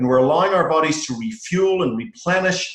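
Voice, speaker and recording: At a fairly quick pace, a man talks in an Irish accent with ordinary pitch variation. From Ireland. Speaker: presenter. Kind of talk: sales presentation.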